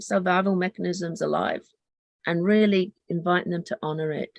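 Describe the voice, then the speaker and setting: A woman with a Lancashire accent speaks at a moderate pace in monotone, flat intonation, with a dry, close sound and no echo. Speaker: therapy trainer. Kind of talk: workshop teaching.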